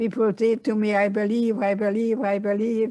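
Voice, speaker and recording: A speaker with a Hungarian accent is heard on a very clean recording with a silent background. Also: woman. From Hungary. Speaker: Holocaust survivor and psychotherapist. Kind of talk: interview.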